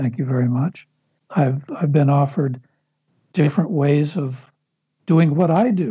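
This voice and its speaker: Somewhat breathy and fairly high-pitched, a man with an American accent speaks fairly slowly with ordinary pitch variation and long, frequent pauses. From Los Angeles, US. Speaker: film writer and director. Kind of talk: casual interview conversation.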